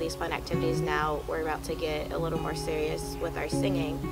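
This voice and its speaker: At a moderate pace, a woman talks over music playing in the background. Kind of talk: interview answer. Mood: calm, warm, enthusiastic. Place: open country.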